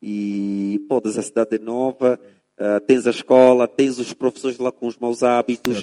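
The man's voice is medium in pitch, with a dark, mellow tone and monotone, flat intonation. He speaks fairly slowly, and the sound is dry and close with no echo. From Angola, Lobito (Benguela). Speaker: English teacher. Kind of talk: casual interview.

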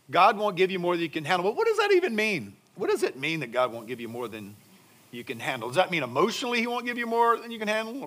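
A man talks very fast against noticeable background noise. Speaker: pastor. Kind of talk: sermon. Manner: conversational, rhetorical questions.

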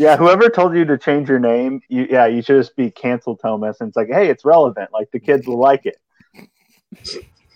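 A man's normal speaking voice, fairly high-pitched, at a moderate pace with lively intonation and hardly any pauses, in a dry, close sound with no echo. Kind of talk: casual chat.

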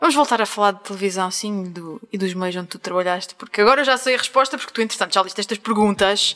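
A woman speaks at a very fast pace with a medium pitch. Her pitch variation is ordinary, and there is noticeable background noise. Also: hardly any pauses. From Azores. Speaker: podcast host. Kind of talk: casual interview. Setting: shop in Angra do Heroísmo, Azores.

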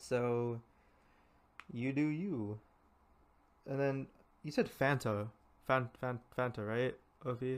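With an American accent, a man speaks at a medium pitch and very slow pace, with ordinary pitch variation and long, frequent pauses. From California. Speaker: podcast host. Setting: video call. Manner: hyper, animated.

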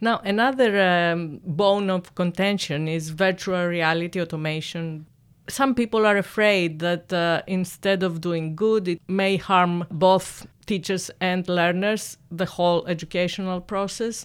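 An ordinary speaking voice from a woman, with fairly even intonation at a fairly slow pace. The recording is very clean, with a silent background. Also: medium pitch for a woman. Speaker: podcast host. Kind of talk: interview. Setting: studio.

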